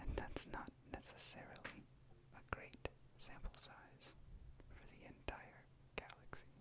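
Long, frequent pauses break up fairly slow whispering. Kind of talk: ASMR explanation to camera. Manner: whispered; quiet.

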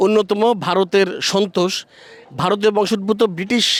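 A man's high-pitched voice in a monotone, flat intonation, with noticeable background noise. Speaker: entertainment journalist. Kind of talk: interview; reporting to camera. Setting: outdoors, festival rooftop.

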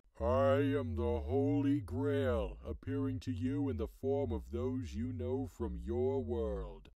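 At a fairly slow pace with hardly any pauses, a man talks in a very deep, low pitch. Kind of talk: mock-grand divine voice turning casual. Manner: solemn at first, then irritated and offhand.

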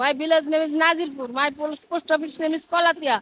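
Raised and projected, a woman's high, bright, sharp voice comes through dry and close with no echo. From Bangladesh, Dhaka district. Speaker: street dweller. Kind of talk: street interview. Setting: outdoors by a busy road.

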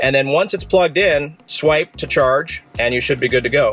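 Faint music plays behind a man speaking at a moderate pace, in dry sound with no echo. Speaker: car vlogger. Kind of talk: tutorial. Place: car. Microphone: phone near.

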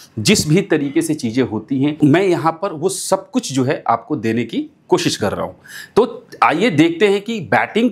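A man's fairly slow speech carries lively intonation. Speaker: fantasy cricket tutor. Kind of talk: tutorial. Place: studio. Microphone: lapel.

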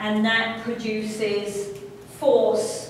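A woman at a very slow pace, with strong room echo and light background noise. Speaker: college instructor. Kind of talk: lecture. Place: classroom. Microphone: camera far.

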